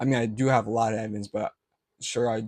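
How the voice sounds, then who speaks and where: At a fairly quick pace with fairly even intonation, the speech comes through as a very clean recording with a silent background and a dry, close sound with no echo. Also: man. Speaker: vlogger. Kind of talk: casual vlog talk to camera. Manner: halting, self-correcting; unscripted, filler-heavy.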